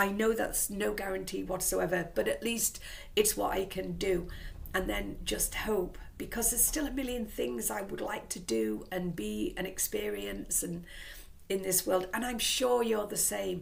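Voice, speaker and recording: In a room with audible echo, a woman with an English accent talks at a fairly slow pace. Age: 60s. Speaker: vlogger. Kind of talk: casual vlog monologue. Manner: rambling, conversational.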